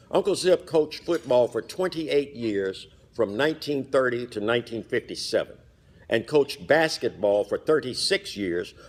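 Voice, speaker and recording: A man with a plain, everyday voice, lively intonation and a moderate pace on a very clean recording with a silent background. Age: 60s. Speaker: fraternity member speaker. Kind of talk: commemorative speech. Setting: hotel banquet hall with audience.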